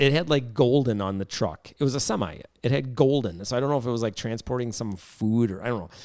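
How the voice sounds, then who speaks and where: A man with a Wisconsin accent, medium pitch, ordinary pitch variation, an animated tone and a very fast pace. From Wisconsin, US Midwest. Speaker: podcast host. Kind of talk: casual chat.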